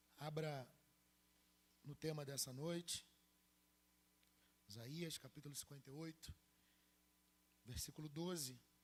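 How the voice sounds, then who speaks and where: A man with a fairly high, somewhat breathy voice speaks at a fairly slow pace, with ordinary pitch variation. Long pauses come often. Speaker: pastor. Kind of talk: sermon.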